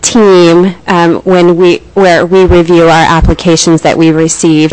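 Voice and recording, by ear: Soft-spoken and slightly mellow, a woman speaks low at a moderate pace with little pitch movement.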